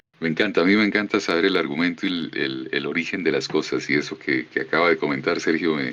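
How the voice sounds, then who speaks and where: A man with a Colombian accent speaks at a very deep, low pitch with vocal fry, a bright, sharp tone and ordinary pitch variation. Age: 50s. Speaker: voice actor. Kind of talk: casual conversation. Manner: warm, effusive.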